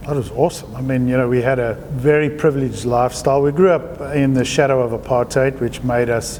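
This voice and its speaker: Talking at a very fast pace with hardly any pauses, a man with a South African accent keeps a medium pitch and fairly even intonation over noticeable background noise. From South Africa, Johannesburg. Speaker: artist. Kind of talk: interview.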